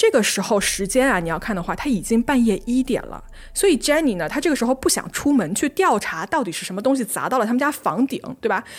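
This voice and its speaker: Her high voice races at a very fast pace, animated in tone, with very wide pitch swings. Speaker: podcast host. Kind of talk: true-crime narration. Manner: animated, conversational storytelling.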